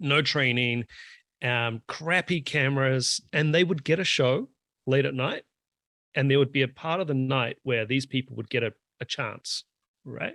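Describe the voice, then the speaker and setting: With a New Zealand accent, a man talks at a moderate pace and medium pitch, his tone bright and sharp, his pitch varying in an ordinary way. He leaves long, frequent pauses, and the sound is dry and close with no echo on a very clean recording with a silent background. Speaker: drummer and drum YouTuber. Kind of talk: casual chat.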